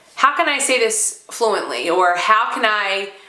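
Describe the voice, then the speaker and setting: With noticeable background noise and audible room echo, a woman's speech moves very slowly. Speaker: stuttering therapy participant and real estate agent. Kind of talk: testimony. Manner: stuttering with repetitions and fillers.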